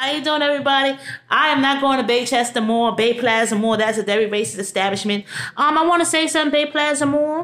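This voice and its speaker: A woman with a high voice and a New York accent, very fast pace, animated tone, ordinary pitch variation, very even loudness, and a quiet background. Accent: New York City. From New York City (Brooklyn); New York City. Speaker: vlogger. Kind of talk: rant to camera. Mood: angry, indignant. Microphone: phone near.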